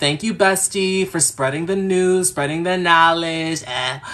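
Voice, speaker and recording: Over noticeable background noise, a man with an American accent speaks at a fairly high pitch for a man. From US, New York. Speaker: astrologer. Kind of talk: live-stream astrology reading. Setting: live stream. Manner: casual, chatty.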